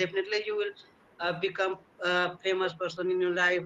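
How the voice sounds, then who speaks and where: Noticeable background noise accompanies a man's raised, projected voice at a high pitch. He talks at a fairly quick pace with fairly even intonation. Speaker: English learner. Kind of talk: conversation practice interview. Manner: fast; halting, many fillers.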